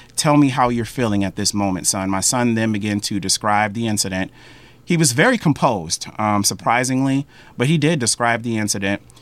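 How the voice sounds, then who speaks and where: Medium pitch from a male speaker, the pitch moving in an ordinary way. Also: fairly quick pace. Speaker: university administrator and instructor. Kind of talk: interview. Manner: off the cuff.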